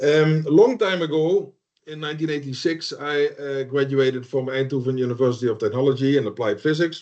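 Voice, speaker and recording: With a Dutch accent, a man talks at a fairly quick pace, his fairly high pitch showing ordinary variation. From southern Netherlands. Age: 60s. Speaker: solar energy instructor. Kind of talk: online lecture. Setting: video call.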